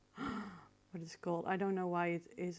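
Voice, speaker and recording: A woman speaks in a medium pitch with a Dutch accent. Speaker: photo retoucher. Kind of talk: tutorial. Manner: halting, many fillers.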